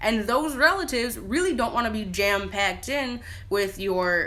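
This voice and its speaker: A woman with an American accent has a bright, sharp tone, and the room echo is audible. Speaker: spiritual practitioner vlogger. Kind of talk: casual talk to camera. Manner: fast; informal, many fillers.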